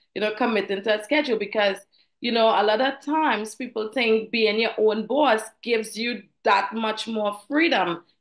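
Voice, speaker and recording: At a moderate pace, a woman with a Trinidadian accent speaks in a fairly high pitch with ordinary pitch variation against a quiet background. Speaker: financial professional, former flight attendant. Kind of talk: interview.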